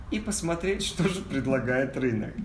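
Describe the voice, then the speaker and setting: The pace of the speech is moderate. Noticeable background noise and an audible room echo come through. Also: man. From Kazakhstan. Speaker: advertising agency founder and actor. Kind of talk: casual talk to an audience.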